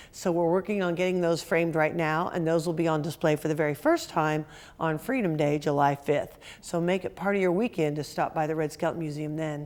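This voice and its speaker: A woman with a fairly low pitch and fairly even intonation talks at a fairly quick pace on a very clean recording with a silent background. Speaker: museum executive director. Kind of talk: interview. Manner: fast.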